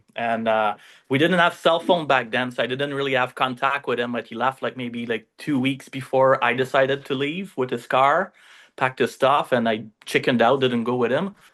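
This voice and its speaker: In a Quebec accent, the speaker keeps a moderate pace and fairly even intonation. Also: man. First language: French. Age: 40s. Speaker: fishing charter owner and entrepreneur. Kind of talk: casual interview storytelling. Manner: halting, many fillers.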